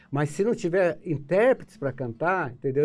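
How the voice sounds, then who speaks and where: A man's fairly high voice with lively intonation at a moderate pace, music playing in the background. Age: 70s. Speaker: composer and guitarist. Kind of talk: interview. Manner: halting, repetitive hesitations.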